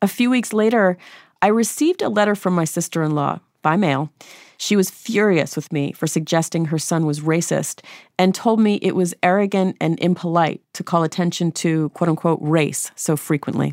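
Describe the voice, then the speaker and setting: A woman with an American accent speaks at a moderate pace and a fairly low pitch, with ordinary pitch variation, in an unremarkable speaking voice. The recording is very clean, with a silent background and a dry, close sound with no echo. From US, New Hampshire. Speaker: podcast host. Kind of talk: interview conversation; scripted narration.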